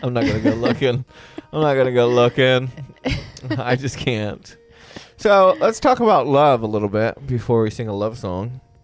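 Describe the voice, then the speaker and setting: A man speaks at a medium pitch and a moderate pace, with long, frequent pauses and music playing in the background. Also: ordinary pitch variation. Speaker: podcast host. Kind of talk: casual chat. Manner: loud; animated.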